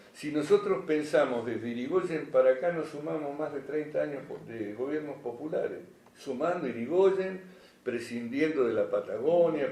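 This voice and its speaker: Room echo clearly audible around a male voice pitched fairly high, medium tempo, normal rise and fall in pitch. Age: 60s. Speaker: public health speaker / panelist. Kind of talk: panel talk at a magazine presentation. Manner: halting, many fillers and restarts.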